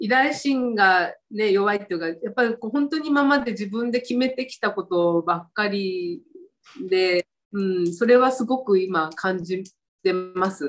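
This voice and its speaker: A woman speaks in a normal speaking voice at a fairly high pitch. Her pace is fairly slow and her intonation lively. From Fukuoka, Japan. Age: 60s. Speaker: stylist. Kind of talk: casual interview.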